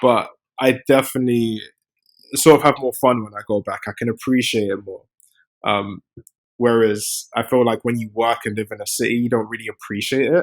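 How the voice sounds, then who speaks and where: A man with a British accent at a medium pitch and fairly quick pace, fairly even intonation, big swings in loudness, and a dry, close sound with no echo. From London, England. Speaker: software engineer and startup founder. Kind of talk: podcast interview. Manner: casual, with many fillers and repetitions.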